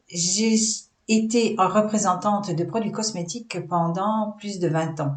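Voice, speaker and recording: Amid audible room echo, a woman speaks at a very slow pace in a medium pitch with ordinary pitch variation. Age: 60s. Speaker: holistic business coach. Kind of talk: vlog presentation. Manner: hesitant, many fillers.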